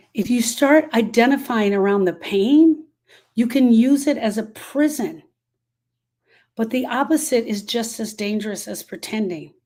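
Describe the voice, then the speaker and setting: A dark, mellow tone from a woman, fairly high in pitch and varying in an ordinary way. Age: 60s. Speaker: grief specialist. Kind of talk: live stream talk. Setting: live video stream.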